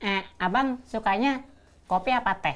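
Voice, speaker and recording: A female-sounding put-on character voice sits at a fairly high pitch. She speaks at a moderate pace on a very clean recording with a silent background. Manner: exaggerated.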